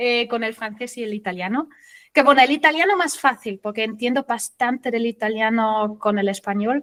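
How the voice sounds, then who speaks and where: A woman's voice, high in pitch with ordinary pitch variation, comes across on a very clean recording with a silent background. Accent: German. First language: German (speaking Spanish). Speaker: SEO consultant. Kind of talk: interview.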